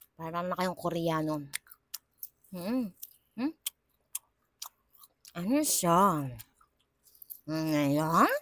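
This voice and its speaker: Very slow speech with long, frequent pauses. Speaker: online seller. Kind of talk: live selling pitch. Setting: livestream. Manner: animated.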